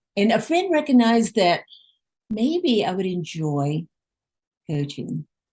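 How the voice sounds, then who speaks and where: The voice is somewhat breathy with a dark, mellow tone, moving at a fairly slow pace through very wide pitch swings and long, frequent pauses. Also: woman, medium pitch for a woman. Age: 60s. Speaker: life coach. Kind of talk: casual chat.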